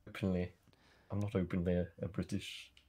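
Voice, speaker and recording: Speaking in an English accent, a man with a very deep, low voice keeps a moderate pace. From England. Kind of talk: casual chat. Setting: livestream. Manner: halting.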